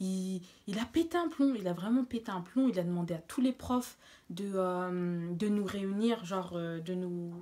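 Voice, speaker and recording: Speaking quietly and fairly slowly, a woman uses a medium pitch with ordinary variation. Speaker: beauty vlogger. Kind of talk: storytime vlog. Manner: casual, hesitant with fillers.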